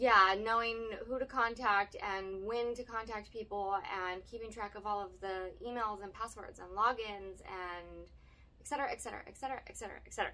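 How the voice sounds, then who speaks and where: Her voice is a normal speaking voice, fairly high for a woman, moving at a fairly quick pace with fairly even intonation and big swings in loudness. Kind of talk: casual chat.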